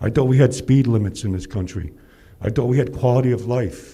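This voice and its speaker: Audible room echo surrounds a man speaking at a fairly quick pace. His voice is somewhat breathy and dark and mellow in tone, with ordinary pitch variation. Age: 60s. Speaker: public commenter. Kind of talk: public comment. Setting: city council meeting. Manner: animated.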